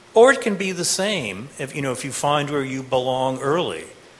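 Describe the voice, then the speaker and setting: Against noticeable background noise, a man with an American accent talks at a moderate pace in a fairly high pitch with lively intonation. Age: 50s. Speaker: professor. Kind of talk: panel discussion answering student questions. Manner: halting, with many fillers.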